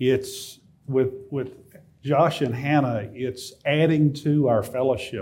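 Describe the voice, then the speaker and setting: A man's medium-pitched voice with a dark, mellow tone and fairly even intonation, audible room echo behind it. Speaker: lay preacher. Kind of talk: sermon. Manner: halting, many filler words.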